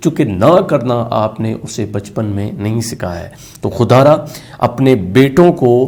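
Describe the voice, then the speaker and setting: There's noticeable background noise here. A man speaks at a medium pitch with ordinary pitch variation. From Pakistan. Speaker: motivational speaker, radio jockey. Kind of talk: motivational lecture.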